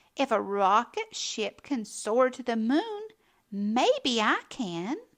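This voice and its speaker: A woman speaks very slowly at a high pitch, using a put-on character voice. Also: quiet background. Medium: read story. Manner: bright, eager.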